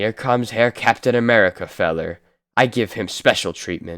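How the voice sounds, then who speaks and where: Putting on a raspy character voice, a man speaks at a medium pitch and moderate pace. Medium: read story.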